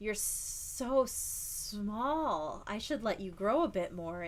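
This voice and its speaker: In a put-on character voice that sounds female, the speaker hisses with a menacing tone at a very slow pace over clear background noise. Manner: hissing, menacing.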